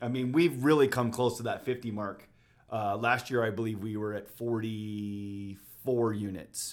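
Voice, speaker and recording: An American accent marks this man's ordinary speaking voice as he talks at a fairly slow pace with fairly even intonation. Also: medium pitch for a man. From Utah, Davis County (Bountiful). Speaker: real estate agent. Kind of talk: casual interview chat. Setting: studio.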